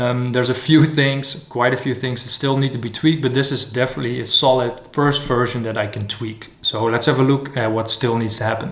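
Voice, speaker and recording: The speech moves at a fairly quick pace with hardly any pauses. Intonation is fairly even, with noticeable background noise. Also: man, medium pitch for a man. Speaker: animator. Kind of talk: casual vlog narration. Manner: occasionally whispered.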